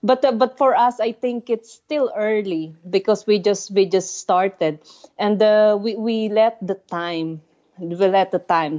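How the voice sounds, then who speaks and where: With a Filipino accent, a woman speaks at a fairly slow pace. Her pitch is medium, with ordinary pitch variation. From Philippines. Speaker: heavy metal musician. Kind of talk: casual chat. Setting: phone call. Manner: halting.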